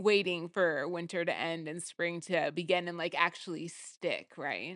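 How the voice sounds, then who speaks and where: A woman's fairly low voice in a West Coast accent, monotone and flat, at a fairly slow pace against a quiet background. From Portland, Oregon, US Pacific Northwest. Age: 40s. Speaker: podcast co-host. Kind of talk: casual chat.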